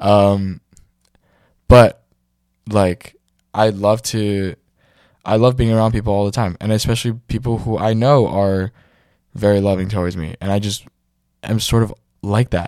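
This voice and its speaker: Recorded very cleanly against a silent background, the sound dry and close with no echo, a man with a fairly low pitch speaks at a moderate pace with fairly even intonation and long, frequent pauses. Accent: American. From New York City. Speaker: podcast host. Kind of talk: casual chat. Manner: halting, filler-heavy.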